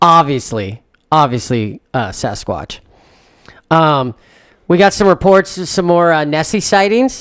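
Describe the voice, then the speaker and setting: Speaking at a fairly slow pace with long, frequent pauses, a man uses a fairly high pitch that makes very wide swings. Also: very clean recording, silent background. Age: 40s. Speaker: podcast co-host. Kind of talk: casual chat.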